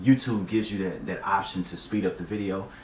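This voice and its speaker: A man speaks with an ordinary speaking voice. His pitch sits fairly low. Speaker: YouTuber vlogging a personal celibacy journey. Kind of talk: casual talk to camera. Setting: talking to camera. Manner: casual slangy.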